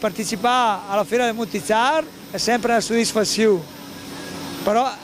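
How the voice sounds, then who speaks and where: A high-pitched male voice, fairly quick and fairly even in intonation, over noticeable background noise. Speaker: dairy cattle breeder. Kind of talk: interview answer.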